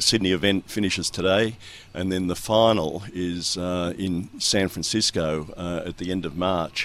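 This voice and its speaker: A man with an Australian accent, very deep and low in pitch, at a fairly slow pace with fairly even intonation. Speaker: sailor's father, club member. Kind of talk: casual radio interview. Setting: sailing club, radio segment.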